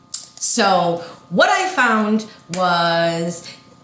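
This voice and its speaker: A woman's medium-pitched voice carries audible room echo and noticeable background noise. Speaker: local talk show host. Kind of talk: casual chat.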